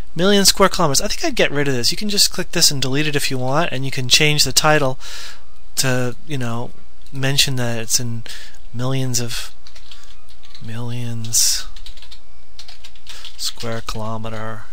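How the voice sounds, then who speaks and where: The speech moves at a moderate pace with long, frequent pauses, and the sound is dry with no echo. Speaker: spreadsheet tutorial maker. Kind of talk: screen-recording software tutorial. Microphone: headset.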